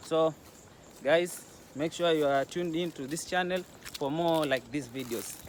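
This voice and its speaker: A fairly high-pitched man at a moderate pace, with ordinary pitch variation, long, frequent pauses, and noticeable background noise. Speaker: travel vlogger. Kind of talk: casual vlog.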